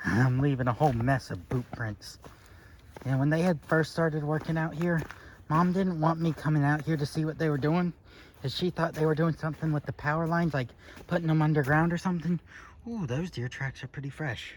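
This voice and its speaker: At a fairly quick pace, a man with a slight Southern US accent talks at a fairly high pitch with ordinary pitch variation. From Florida, US South. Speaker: vlogger. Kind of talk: casual vlog while walking outdoors. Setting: outdoors.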